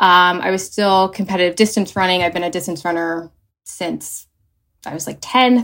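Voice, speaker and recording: A woman with an American accent speaks in a plain, everyday voice of medium pitch. Her pace is moderate and her intonation fairly even. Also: very clean recording, silent background. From New Jersey. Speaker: nurse and patient advocate. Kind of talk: interview, personal story.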